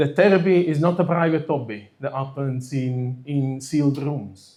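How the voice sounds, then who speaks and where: Audible room echo surrounds a man's dark, mellow tone. His pitch is fairly high, with ordinary variation. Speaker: psychotherapist and conference organiser. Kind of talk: conference opening speech. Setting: stage with audience.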